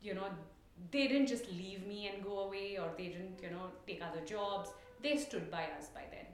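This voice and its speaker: A woman speaks with an Indian accent, her loudness swinging widely. Noticeable noise sits in the background. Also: medium pitch for a woman, ordinary pitch variation, moderate pace. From India, Mumbai. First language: Tulu. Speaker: coffee grower. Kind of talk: interview.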